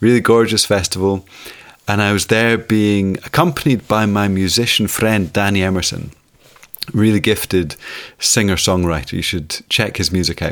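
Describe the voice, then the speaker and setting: A man's fairly low voice in a Scottish accent, at a moderate pace and with ordinary pitch variation. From Scotland. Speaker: storyteller. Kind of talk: storytelling.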